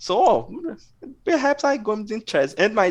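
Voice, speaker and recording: At a very slow pace, a man speaks against a quiet background. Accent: non-native. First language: not English. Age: 30s. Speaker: adult chess player. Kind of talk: interview. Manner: halting.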